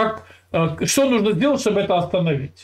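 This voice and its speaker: At a moderate pace, a man talks in a high pitch with very wide pitch swings. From Russia. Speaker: video channel host. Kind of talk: casual chat with a stranger, heated debate. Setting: California, USA. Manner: teasing, provocative. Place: home room. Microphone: earbuds.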